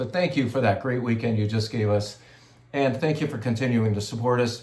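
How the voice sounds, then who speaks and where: A man speaks at a medium pitch with ordinary pitch variation. Noticeable background noise and audible room echo fill the recording. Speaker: wine shop owner. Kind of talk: casual video update to customers.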